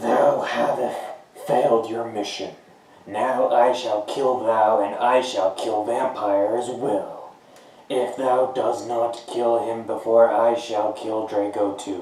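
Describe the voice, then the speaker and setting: Doing a put-on character voice, a man speaks raspily at medium pitch and a fairly slow pace, with a slight echo. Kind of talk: archaic, formal. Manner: evil, menacing.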